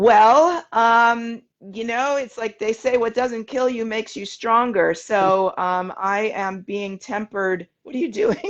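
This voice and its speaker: This woman has a New York accent and a fairly high pitch. She talks at a fairly slow pace with hardly any pauses. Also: ordinary pitch variation. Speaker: show guest. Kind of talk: casual chat.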